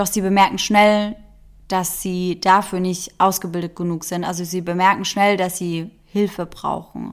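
Speaking in a serious tone at a fairly slow pace, a woman keeps a monotone, flat intonation at medium pitch, on a very clean recording with a silent background. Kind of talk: true-crime narration. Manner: measured, serious storyteller pace; suspenseful, building tension.

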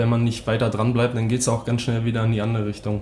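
A man of medium pitch speaks in a monotone, flat way with a slight Berlin accent. Noticeable background noise and audible room echo surround him. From northern Germany, Hamburg (St. Pauli). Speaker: ice hockey player. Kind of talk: casual interview.

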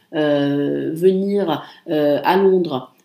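Audible room echo surrounds a voice with fairly even intonation. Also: woman. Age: 30s. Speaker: podcast host. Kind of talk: casual solo monologue. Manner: hesitant, many fillers.

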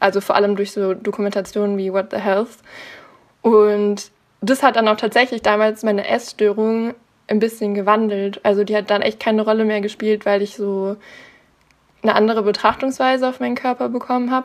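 With a plain, everyday voice, a woman speaks at a fairly quick pace and fairly high pitch, her intonation fairly even. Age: 20s. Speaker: naturopath in training. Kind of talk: interview.

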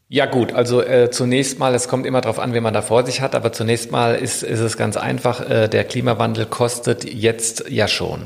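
A man speaks at a moderate pace with hardly any pauses, his intonation monotone and flat. Noticeable background noise sits behind him. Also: medium pitch for a man. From Rhine-Main area, Hanau near Frankfurt. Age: 40s. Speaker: climate researcher, professor. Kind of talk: interview. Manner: halting, many fillers and repetitions.

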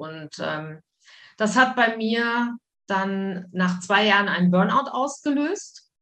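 Words come very slowly, with pitch varying in an ordinary way. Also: woman. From Wuppertal, western Germany. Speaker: psychologist and communication coach. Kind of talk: casual interview.

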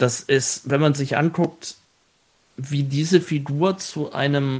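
A man speaks at a very slow pace with a fairly high pitch. His tone is dark and mellow, with ordinary pitch variation. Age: 30s. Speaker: show writer and theme park entertainment director. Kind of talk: casual interview.

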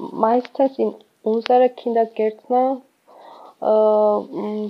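She speaks at a very slow pace. The woman has a Georgian accent. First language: Georgian (speaking German). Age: 20s. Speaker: volunteer kindergarten worker. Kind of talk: casual interview. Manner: halting, many fillers.

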